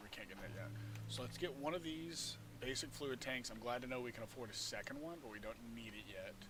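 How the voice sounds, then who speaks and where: Through noticeable background noise, a man of medium pitch talks at a fairly quick pace with lively intonation. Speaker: gaming streamer. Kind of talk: live gameplay commentary. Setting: live stream.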